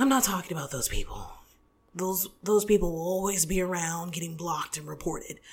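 A woman speaks in an animated tone. Her pitch sits in the medium range. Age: 20s. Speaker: podcast host. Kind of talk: casual solo podcast commentary.

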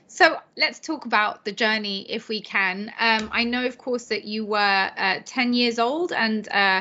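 With an ordinary speaking voice, a woman talks at a fairly high pitch. Her pace is fairly slow and her intonation fairly even. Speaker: podcast host. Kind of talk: interview.

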